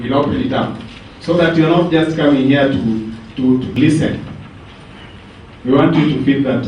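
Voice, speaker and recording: A medium-pitched man at a moderate pace, with noticeable background noise and audible room echo. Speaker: panel moderator. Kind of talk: moderating a panel. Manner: soft-spoken.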